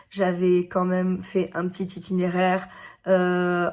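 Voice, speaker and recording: The recording is very clean, with a silent background. A woman talks at a medium pitch in a dark, mellow tone. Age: 40s. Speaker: teacher and YouTuber. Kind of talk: personal vlog monologue. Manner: loud; hesitant fillers.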